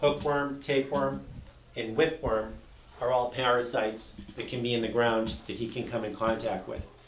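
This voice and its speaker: A man talks at a moderate pace with ordinary pitch variation. There is light background noise and audible room echo. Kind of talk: informational talk to camera. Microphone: camera far.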